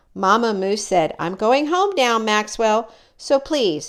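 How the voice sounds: The reading is done in a natural voice, and its intonation is lively.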